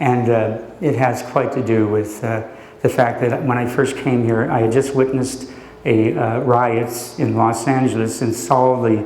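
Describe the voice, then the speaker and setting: A man speaks in an American accent with monotone, flat intonation at a fairly slow pace. Noticeable background noise and audible room echo fill the recording. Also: medium pitch for a man. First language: Slovak. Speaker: poet and professor. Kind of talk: poetry reading and talk. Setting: library event with audience. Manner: hesitant with many fillers.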